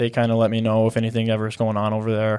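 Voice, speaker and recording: Over a silent background in a very clean recording, a man with a Midwestern accent talks at a very fast pace. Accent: general American (Midwestern). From US Midwest (Nebraska). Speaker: real estate investor. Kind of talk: casual interview chat. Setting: studio.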